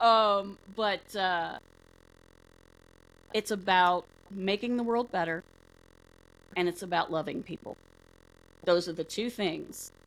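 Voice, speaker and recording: A woman at a medium pitch speaks at a fairly slow pace with fairly even intonation and long, frequent pauses, recorded very cleanly against a silent background. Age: 50s. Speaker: podcast host, paranormal researcher. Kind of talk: casual chat.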